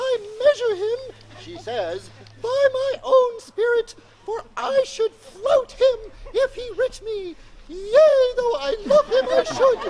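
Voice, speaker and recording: In a squeaky, put-on character voice, a man speaks at an extremely high pitch and a fairly slow pace. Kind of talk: Shakespearean stage acting. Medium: stage play. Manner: earnest, emphatic.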